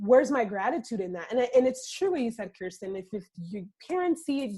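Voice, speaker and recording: A woman's high, animated voice racing at a very fast pace through very wide pitch swings. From Dominican Republic, raised in Florida. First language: Spanish. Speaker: podcast host and author. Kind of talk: interview.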